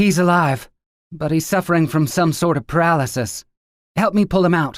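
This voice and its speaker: Growling in a put-on character voice, a man speaks at a high pitch and a moderate pace, the sound dry and close with no echo. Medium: read story. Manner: brisk, commanding.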